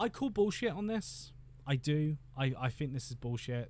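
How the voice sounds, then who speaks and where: Speaking in a British accent, a man keeps a fairly slow pace. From Britain. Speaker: YouTube film commentator. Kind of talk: livestream commentary. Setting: home office. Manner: animated; halting.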